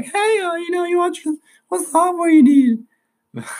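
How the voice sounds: A man in a put-on character voice at an extremely high pitch.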